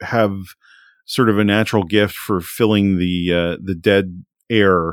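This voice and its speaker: A man with a fairly low pitch and fairly even intonation is heard on a very clean recording, with a dry, close sound, no echo and a silent background. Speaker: homebrew programmer and streamer. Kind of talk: casual interview chat.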